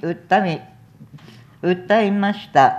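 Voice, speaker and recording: A medium-pitched female voice, very slow, with fairly even intonation. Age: 70s. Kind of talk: press conference statement. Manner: tearful.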